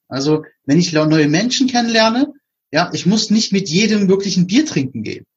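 The man talks at a moderate pace. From Berlin, Germany. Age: 40s. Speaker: podcast host. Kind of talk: casual interview chat.

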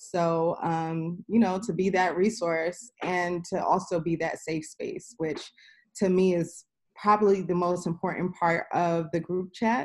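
The speech moves at a fairly slow pace. Its intonation is fairly even. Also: woman, fairly low pitch for a woman. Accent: New York. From New York City, Queens. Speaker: sports business professional. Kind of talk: casual interview. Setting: remote call.

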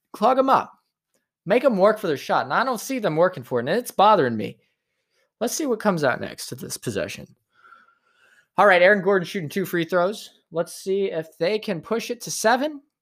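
A fairly quick pace broken by long, frequent pauses. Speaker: sports commentator. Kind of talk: live sports commentary. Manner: animated, play-by-play; opinionated, casual.

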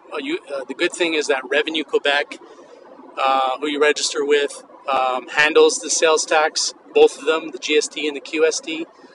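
A man's fairly high voice, with ordinary pitch variation and a moderate pace, comes through dry and close with no echo over noticeable background noise. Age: 50s. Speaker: podcast host, vintage clothing entrepreneur. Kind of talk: solo educational monologue. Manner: casual, with frequent fillers.

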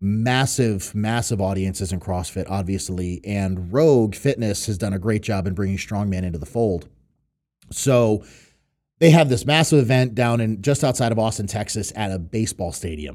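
A man with an American accent, a plain, everyday voice, a fairly low pitch, ordinary pitch variation and a moderate pace, on a very clean recording with a silent background. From New York and Connecticut, US Northeast. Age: 30s. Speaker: professional strongman. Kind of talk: casual podcast interview.

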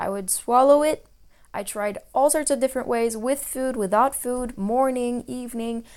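A woman with a French accent speaks in a high pitch at a moderate pace. Her intonation is fairly even, on a very clean recording with a silent background. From French-speaking region, multilingual upbringing. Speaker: naturopath podcast host. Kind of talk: solo Q&A podcast talk. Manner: hesitant, many fillers.

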